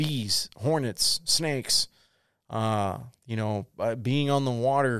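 A man talks at a medium pitch with fairly even intonation and a Southern US accent. The recording is very clean, with a silent background. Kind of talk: solo podcast monologue. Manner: casual, rambling.

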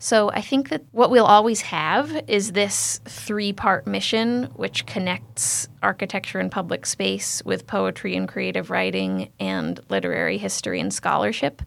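An American accent with vocal fry and very wide pitch swings. The pace is fairly slow. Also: woman, very deep, low pitch for a woman. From Berkshire County, Massachusetts. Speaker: architect and arts project co-founder. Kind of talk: interview.

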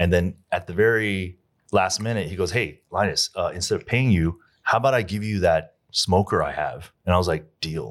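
A man with an American accent, very deep and low in pitch, at a moderate pace with ordinary pitch variation, in a very clean recording with a silent background. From US South. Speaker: restaurant owner. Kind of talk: casual chat.

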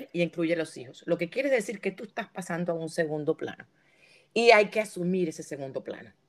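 The woman here has an unremarkable speaking voice, fairly low in pitch with ordinary variation. She talks at a fairly quick pace, with big swings in loudness. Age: 50s. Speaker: podcast host. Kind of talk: casual chat.

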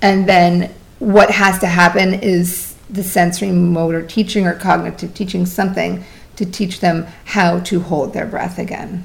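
Her intonation is monotone and flat as the woman speaks at a fairly slow pace. Audible room echo surrounds her voice. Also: medium pitch for a woman. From Vermont. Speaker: swim instructor and water fitness founder. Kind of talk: casual interview.

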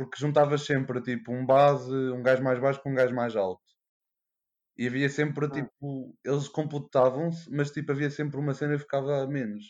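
In an unremarkable speaking voice, a man talks at a moderate pace with fairly even intonation over a quiet background. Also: fairly high pitch for a man. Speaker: veterinary student. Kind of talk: casual chat.

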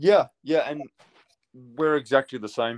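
A man with a New Zealand accent in a dry, close sound with no echo. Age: 30s. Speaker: custom painter and pinstriper. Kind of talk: casual interview. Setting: remote call.

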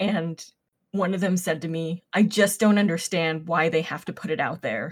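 A woman speaks in a somewhat breathy, fairly low voice with ordinary pitch variation. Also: moderate pace. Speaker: podcast co-host. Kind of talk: casual chat.

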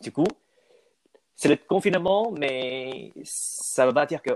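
The recording has a dry, close sound with no echo. A man speaks very slowly. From Taiwan. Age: young. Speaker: student, aspiring French teacher. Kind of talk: interview. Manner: halting.

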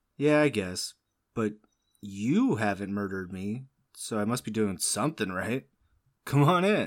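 Lively intonation marks this man's fairly slow delivery, broken by long, frequent pauses, in a very clean recording with a silent background. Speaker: podcast host. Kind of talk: casual comedic banter.

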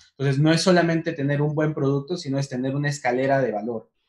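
A man's unremarkable speaking voice, fairly high in pitch, with ordinary pitch variation and a fairly quick pace. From Peru, Huancayo. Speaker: director of an online education platform. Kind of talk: casual interview on a livestream.

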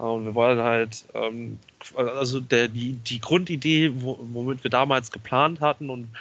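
A normal speaking voice moves at a fairly slow pace with ordinary pitch variation over a quiet background. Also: man. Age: 20s. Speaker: wrestling promoter and videographer. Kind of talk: podcast interview.

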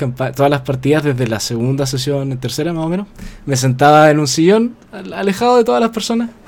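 A man talks in an unremarkable speaking voice, fairly high-pitched. His intonation is lively and his pace moderate. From Chile. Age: 20s. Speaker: novelist. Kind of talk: casual interview.

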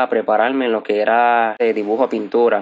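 This man speaks in a monotone, with flat intonation throughout. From Puerto Rico, Arecibo. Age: 20s. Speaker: graphic designer and entrepreneur. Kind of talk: interview. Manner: halting, with frequent fillers.

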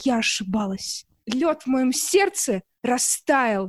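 Lively intonation marks a woman's voice, heard dry and close with no echo. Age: 20s. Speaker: singer, dating show heroine. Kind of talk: casual commentary. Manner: animated.

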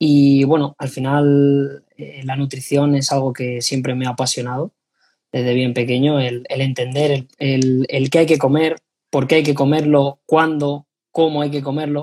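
A man's fairly high, somewhat breathy voice with a dark, mellow tone, flat monotone intonation and a fairly slow pace. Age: 20s. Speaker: sports nutritionist. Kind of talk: interview.

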